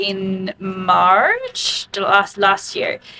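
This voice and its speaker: Speaking at a very slow tempo, the woman is heard over noticeable background noise. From Sweden. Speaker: fitness coach. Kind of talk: interview.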